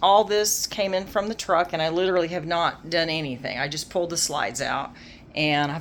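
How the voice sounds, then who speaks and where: Here a woman speaks with a very deep, low pitch. Her pitch variation is ordinary. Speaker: RV travel vlogger. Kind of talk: casual vlog home tour. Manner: fast.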